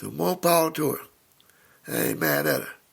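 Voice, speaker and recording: A man talks at a moderate pace. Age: 60s. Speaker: podcaster. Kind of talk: casual monologue. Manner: informal, rambling delivery with fillers.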